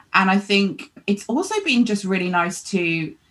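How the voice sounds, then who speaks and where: Lively intonation runs through this unremarkable speaking voice. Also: woman. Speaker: money and business coach. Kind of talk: casual interview chat.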